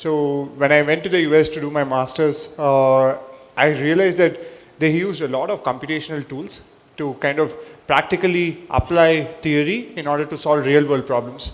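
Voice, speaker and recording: Speaking at a moderate pace in a South Indian accent, a man uses a fairly high pitch and fairly even intonation. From India, Chennai. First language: Telugu. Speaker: entrepreneur, panelist. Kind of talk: panel discussion. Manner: halting, many fillers.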